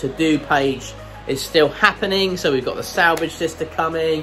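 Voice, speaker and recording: A man's high voice with ordinary pitch variation, faint music in the background. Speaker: maker channel host. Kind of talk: casual vlog chat. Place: workshop. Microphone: phone near.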